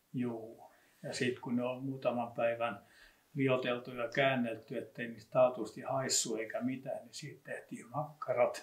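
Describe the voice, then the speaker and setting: This man has a medium pitch and monotone, flat intonation at a fairly slow pace. His loudness swings widely. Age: old. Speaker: local history expert. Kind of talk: casual reminiscing conversation.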